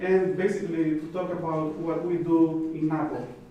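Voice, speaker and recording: A high-pitched male voice in a flat monotone, with audible room echo and noticeable background noise. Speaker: plant protection official. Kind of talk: conference presentation. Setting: conference stage with audience. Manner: halting with many fillers.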